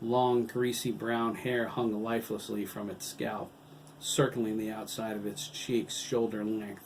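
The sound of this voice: Reading voice, unforced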